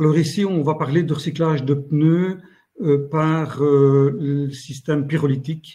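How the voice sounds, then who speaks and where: A man speaks at a fairly slow pace in a fairly high pitch, somewhat breathy. His tone is dark and mellow, and his intonation is monotone and flat. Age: 60s. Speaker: company founder. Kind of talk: business pitch. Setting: online live meeting. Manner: hesitant, many fillers.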